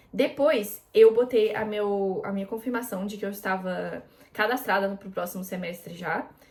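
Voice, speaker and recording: A woman speaks at a moderate pace with a medium pitch and ordinary pitch variation. Her loudness swings widely, over noticeable background noise. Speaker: international student and vlogger. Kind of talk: casual tutorial vlog. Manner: casual, with many fillers.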